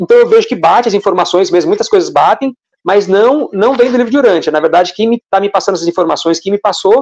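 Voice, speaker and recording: At a very fast pace and high pitch, a man speaks with lively intonation in a dry, close sound with no echo. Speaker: spiritual channeler. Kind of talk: live stream Q&A talk. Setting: online live stream. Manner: hesitant, repeats words.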